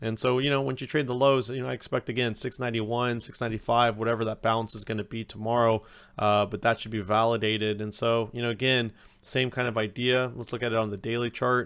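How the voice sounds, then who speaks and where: The speech comes at a very fast pace with monotone, flat intonation. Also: man, medium pitch for a man. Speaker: stock market youtuber. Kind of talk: market analysis tutorial. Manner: conversational, many fillers.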